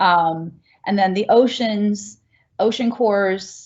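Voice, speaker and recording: A woman's normal speaking voice at medium pitch, with ordinary pitch variation and an American accent. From US Northeast, Philadelphia area. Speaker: geology museum director. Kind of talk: Q&A answer.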